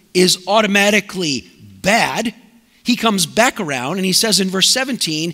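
The voice is raised and projected, at a moderate pace with ordinary pitch variation. The background is quiet. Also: man. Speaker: preacher. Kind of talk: sermon. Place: church.

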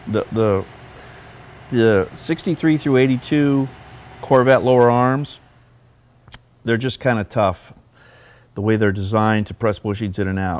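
A man speaks at a fairly slow pace with ordinary pitch variation. He takes long, frequent pauses. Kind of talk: tutorial. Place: workshop.

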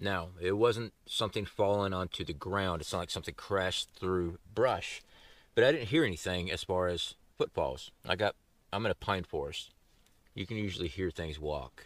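A man's ordinary speaking voice, fairly low in pitch, at a moderate pace with ordinary pitch variation and a dry sound with no echo. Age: 40s. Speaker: outdoor survival youtuber. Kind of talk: casual vlog talk to camera. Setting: outdoors in the woods. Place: forest.

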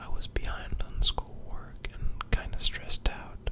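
At a very slow pace, the man is whispering. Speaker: student. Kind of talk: ASMR whisper video talking to audience. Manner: whispered, soft-spoken.

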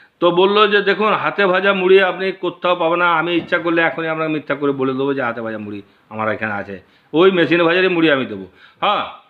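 This is a man with a high-pitched voice. His intonation is lively. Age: 60s. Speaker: video blogger. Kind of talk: personal storytelling monologue. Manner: halting.

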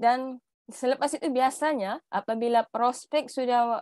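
Against a quiet background with dry, echo-free sound, a woman speaks at a high pitch with ordinary pitch variation. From Tawau, Sabah; Sabah. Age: young. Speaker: direct-selling agency manager; guest. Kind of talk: presentation. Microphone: earbuds.

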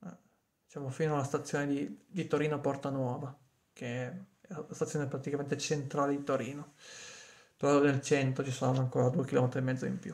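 Speaking fairly quickly with long, frequent pauses, a man uses a fairly high, somewhat breathy voice and fairly even intonation. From Piedmont, Cuneo province; Piedmont. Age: 30s. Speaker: vlogger. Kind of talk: casual monologue to a friend. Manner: halting, with frequent repetitions. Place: home room. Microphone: phone near.

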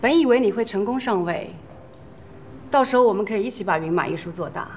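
A woman at a moderate pace with very wide pitch swings, music in the background. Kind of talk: scripted drama dialogue. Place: cafe.

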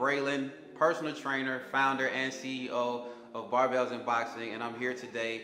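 Faint music plays in the background, with audible room echo. A man talks at a moderate pace with fairly even intonation. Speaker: personal trainer. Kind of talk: workout instruction. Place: home room. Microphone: lapel.

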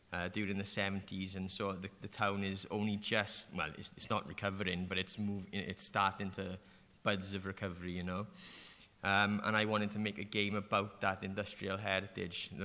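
A man with a strong Welsh accent, a fairly low pitch, a bright, sharp tone and monotone, flat intonation. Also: moderate pace. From South Wales Valleys, Merthyr Tydfil; South Wales. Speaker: animator and game developer; panelist. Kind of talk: panel discussion. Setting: stage with audience. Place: hall. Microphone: podium.

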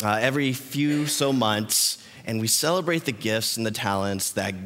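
A man's animated, fairly slow delivery at a medium pitch, with ordinary pitch variation and audible room echo. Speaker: youth pastor. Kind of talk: sermon. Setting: church.

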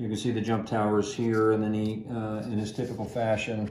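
Light background noise and audible room echo surround the recording. A man speaks at a moderate pace with a fairly low pitch. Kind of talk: interview answer. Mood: calm, reflective, proud. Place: home room.

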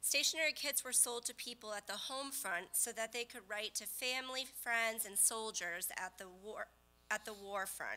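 A woman speaks with a high pitch and a bright, sharp tone. Her pace is fairly slow. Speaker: co-presenter. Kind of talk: presentation. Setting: stage with audience. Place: hall.

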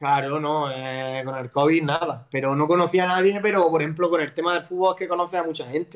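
Against a quiet background, a man with a fairly high pitch talks at a fairly quick pace with ordinary pitch variation and hardly any pauses. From Andalusia, Spain (Almería); Andalusia, Spain. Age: 30s. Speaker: footballer; guest. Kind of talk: casual chat. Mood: relaxed, laughing, storytelling. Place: home room. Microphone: video call.

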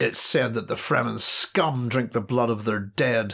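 A raspy, put-on character voice comes at a moderate pace. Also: man, medium pitch for a man, ordinary pitch variation. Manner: angry.

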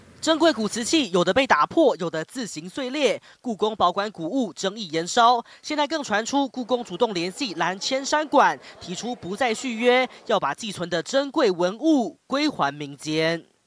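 This man talks at a moderate pace with hardly any pauses, his high voice swinging very widely in pitch. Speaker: TV news reporter. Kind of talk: news report narration. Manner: formal.

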